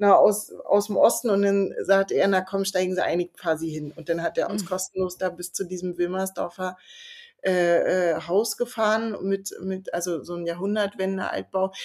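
An ordinary speaking voice moves at a moderate pace with fairly even intonation, on a very clean recording with a silent background. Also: woman, medium pitch for a woman. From East Berlin. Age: 40s. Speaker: author and columnist. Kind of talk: casual interview conversation.

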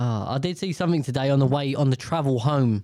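A man with a British accent speaks at a medium pitch in a very clean recording with a silent background. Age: 30s. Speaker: podcast host. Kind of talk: casual monologue. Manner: animated.

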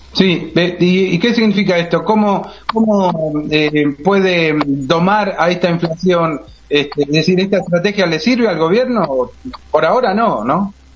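Over noticeable background noise, a man speaks at a fairly slow pace in a high pitch, with ordinary pitch variation and very even loudness. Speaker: radio co-host. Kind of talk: radio interview.

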